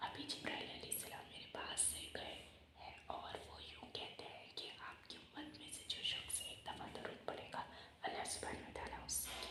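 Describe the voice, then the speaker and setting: A woman is whispering. Noticeable background noise runs underneath. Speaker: Islamic ASMR creator. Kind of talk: religious lecture reading for relaxation. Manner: whispered, soft-spoken.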